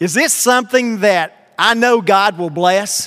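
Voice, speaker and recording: The voice is raised and projected. It belongs to a man with a high pitch. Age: 50s. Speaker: pastor. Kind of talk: sermon.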